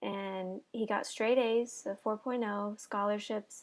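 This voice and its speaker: The recording is very clean with a silent background, carrying a woman's fairly high, normal speaking voice. She goes at a fairly slow pace with fairly even intonation. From US, Mexican-American family. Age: 20s. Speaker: interviewee. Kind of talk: interview. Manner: casual, many fillers.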